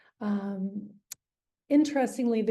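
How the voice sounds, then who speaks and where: A woman's dark, mellow tone moves at a moderate pace. Audible room echo surrounds her. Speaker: astrologer. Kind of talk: online presentation to a group. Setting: video call.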